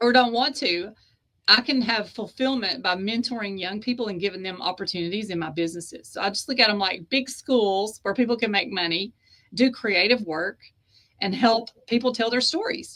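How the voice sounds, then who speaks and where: A woman's bright, sharp tone at a moderate pace. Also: fairly high pitch for a woman, ordinary pitch variation. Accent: Southern US. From US South (East Tennessee / Georgia). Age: 50s. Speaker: author and publisher. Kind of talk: interview conversation.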